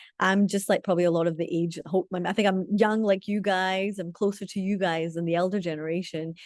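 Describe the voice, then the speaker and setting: A woman speaks in a Scottish accent at medium pitch. She moves at a fairly quick pace with hardly any pauses against a quiet background. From Scotland. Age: 30s. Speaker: community leader. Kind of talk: webinar talk. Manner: animated.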